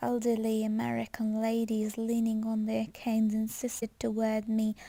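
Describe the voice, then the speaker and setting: A woman speaks with a dark, mellow tone, fairly high in pitch and somewhat breathy. Her intonation stays monotone and flat, at a moderate pace and very even loudness. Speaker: ASMR reader. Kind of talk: book reading, ASMR. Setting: home recording with some background noise.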